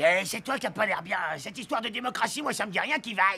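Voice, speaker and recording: In a cartoonish character voice pitched high for a man, he talks at a very fast pace. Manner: grumbling, blunt.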